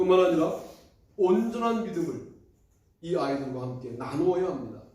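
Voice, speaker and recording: Lively intonation over audible room echo. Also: man, high pitch for a man. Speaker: pastor. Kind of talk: sermon. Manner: fast.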